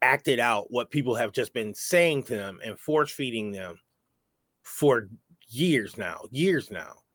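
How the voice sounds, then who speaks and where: Heard in a dry, close sound with no echo, a man with an American accent moves at a fairly slow pace with ordinary pitch variation. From New York. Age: 40s. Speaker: podcast host. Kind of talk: casual chat.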